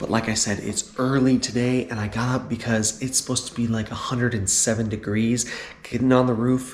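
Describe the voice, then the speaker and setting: A man's monotone, flat delivery at a medium pitch and moderate pace, with noticeable background noise. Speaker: RV lifestyle vlogger. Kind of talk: casual vlog.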